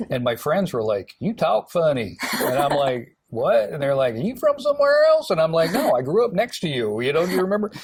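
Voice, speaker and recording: A man with an American accent talks at a fairly quick pace with hardly any pauses over noticeable background noise. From US South, Alabama. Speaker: TV morning show host. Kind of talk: casual interview chat. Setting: TV studio. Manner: chatty storytelling with fillers.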